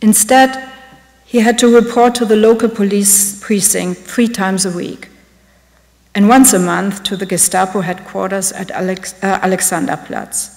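A woman with a German accent speaks at a moderate pace with fairly even intonation against a quiet background. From Germany. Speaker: art curator; lecturer. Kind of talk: lecture. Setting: stage with audience. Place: hall. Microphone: podium.

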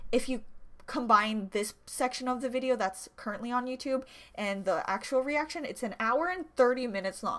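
A woman speaks with a fairly high pitch and ordinary pitch variation. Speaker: YouTube reaction vlogger. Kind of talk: casual direct-to-camera video intro. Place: home room. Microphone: webcam.

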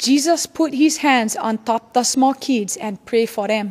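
A woman speaks at a fairly slow pace in a high pitch. Her intonation is lively. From Hawaii. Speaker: scripture reader. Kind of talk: scripture reading. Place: church. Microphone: podium.

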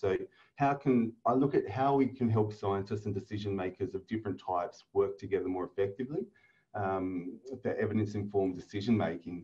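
Fairly quick speech from a man, dark and mellow in tone and somewhat breathy. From Northern Australia. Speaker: academic researcher. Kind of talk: webinar lecture. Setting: video call. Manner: fast talker.

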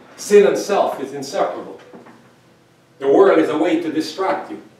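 At a moderate pace, a man speaks amid audible room echo. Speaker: pastor. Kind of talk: sermon. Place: church. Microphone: camera far.

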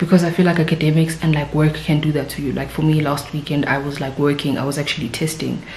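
A woman speaks very fast in a very deep, low voice with monotone, flat intonation, with audible room echo and light background noise. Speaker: vlogger. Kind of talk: casual vlog chat. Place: home room. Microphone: phone near.

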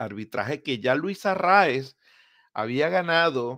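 The recording is very clean with a silent background, and the man on it uses ordinary pitch variation. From Venezuela, Maracaibo (Zulia). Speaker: baseball podcast host. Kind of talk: sports news commentary podcast. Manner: hesitant fillers (eh, pues).

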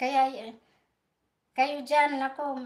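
The woman has a high voice. She speaks very slowly. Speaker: vlogger. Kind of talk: angry rant, sarcastic scolding of rally protesters, live-stream style. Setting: live stream, from Europe. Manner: sarcastic, combative and emphatic, blunt and defiant; repetitive, with "no?" and "guys" tags.

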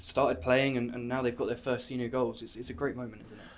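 At a fairly quick pace, a man speaks at medium pitch with little pitch movement.

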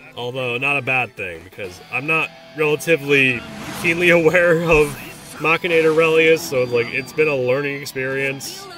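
A man talks at a moderate pace with a fairly high voice and ordinary pitch variation while music plays behind him. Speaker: gaming commentator. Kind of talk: gameplay post-commentary. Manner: casual.

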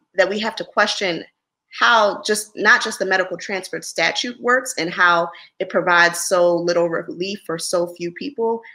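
A woman with a Philadelphia accent speaks at a fairly slow pace in a bright, sharp tone. The background is quiet. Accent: Philadelphia American English. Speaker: lawyer. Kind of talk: interview. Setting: video call. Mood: serious, measured advocacy. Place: home room.

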